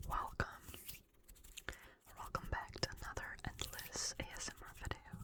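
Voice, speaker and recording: A whispered voice with long, frequent pauses, heard over noticeable background noise. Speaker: ASMR creator. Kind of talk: ASMR whispered reading. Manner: whispering; slow.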